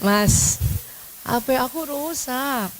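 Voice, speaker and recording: Over clear background noise, a female-sounding put-on character voice comes out shrill, whiny and high-pitched, with a whiny tone. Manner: coy, spoiled, whiny.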